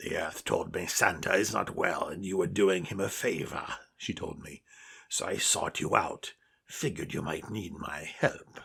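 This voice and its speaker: A raspy voice is put on as a character. Its pace is moderate. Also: man, fairly low pitch for a man. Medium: read story.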